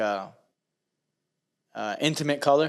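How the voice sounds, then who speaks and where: At an average speed, a man speaks in a rather high register. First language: not English. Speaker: podcast co-host. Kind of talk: casual chat. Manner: halting.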